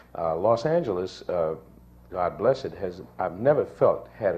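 With an American accent, a man speaks at a moderate pace in a dark, mellow, somewhat breathy tone with ordinary pitch variation. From US West Coast (San Diego). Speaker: actor. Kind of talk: panel discussion.

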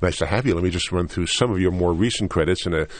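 This man speaks at a very deep, low pitch with vocal fry. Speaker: radio host. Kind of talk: interview. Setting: studio.

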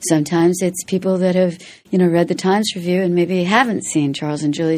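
On a very clean recording with a silent background, a woman's dark, mellow tone carries ordinary pitch variation. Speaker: stage actress. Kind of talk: interview chat. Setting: studio.

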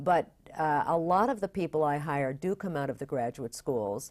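In an American accent, a woman speaks with a very deep, low pitch and ordinary pitch variation at a moderate pace. The recording is very clean, with a silent background. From upstate New York (Bath). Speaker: theater general manager. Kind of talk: interview.

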